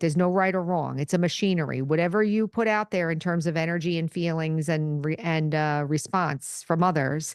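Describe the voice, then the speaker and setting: A woman with an unremarkable speaking voice talks at a moderate pace with a fairly low pitch and fairly even intonation, the sound dry and close with no echo and the background quiet. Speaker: podcast host and meditation teacher. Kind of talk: spiritual teaching talk. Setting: podcast recording.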